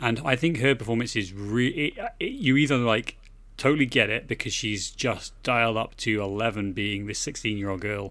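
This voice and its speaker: On a very clean recording with a silent background, a man with an English accent speaks at medium pitch and a moderate pace, his tone bright and sharp and his pitch varying in an ordinary way. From England. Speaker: podcast co-host. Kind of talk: casual chat.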